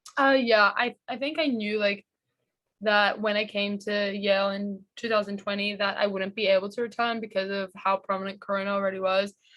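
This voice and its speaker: A woman with a medium-pitched voice speaks at a fairly quick pace with fairly even intonation against a quiet background. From Australia, Sydney. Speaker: college basketball player. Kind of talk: interview. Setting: video call.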